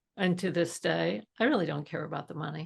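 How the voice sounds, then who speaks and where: A woman with an American accent talks at a fairly quick pace, her pitch fairly low. Her intonation is lively, with vocal fry. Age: 80s+. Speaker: entrepreneur. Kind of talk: interview. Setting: podcast.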